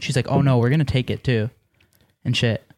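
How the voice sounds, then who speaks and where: Speaking at a very fast pace in a medium pitch, a man with an Ontario accent comes through a dry, close sound with no echo on a very clean recording with a silent background. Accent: Canadian (Ontario). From Canada, Mississauga near Toronto. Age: 20s. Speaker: YouTube prankster. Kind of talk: casual chat. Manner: animated.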